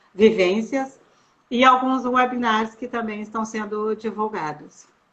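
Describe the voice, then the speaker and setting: A woman speaks at a fairly high pitch in an unremarkable speaking voice. Her pace is fairly slow. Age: 60s. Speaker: sociologist. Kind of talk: interview.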